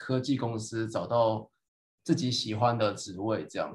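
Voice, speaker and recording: The pace is moderate. The voice sounds somewhat breathy. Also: man. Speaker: PhD graduate, podcast co-host. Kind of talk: casual chat.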